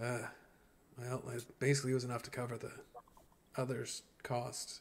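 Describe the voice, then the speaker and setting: Using a raspy, put-on character voice, a man speaks at a medium pitch and moderate pace with monotone, flat intonation. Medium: actual play. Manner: chatty, casual.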